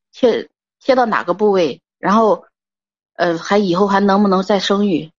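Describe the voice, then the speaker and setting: A woman's medium-pitched voice at a fairly slow pace, with very even loudness and ordinary pitch variation. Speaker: caller. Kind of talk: personal testimony on call-in show. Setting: phone call.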